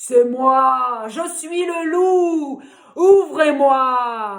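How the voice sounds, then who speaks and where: A woman's put-on character voice, high in pitch and very slow in pace, with audible echo. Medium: read story. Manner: menacing.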